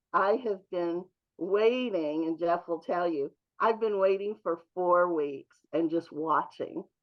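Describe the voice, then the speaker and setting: A normal speaking voice from a woman, fairly low in pitch, fairly slow, with ordinary pitch variation. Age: 60s. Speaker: program member. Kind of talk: testimony.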